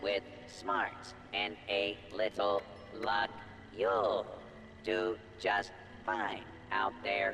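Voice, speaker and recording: A man puts on a character voice, pitched fairly low, with clear background noise behind him. He talks at a very slow pace, leaving long, frequent pauses. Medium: video game. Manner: upbeat.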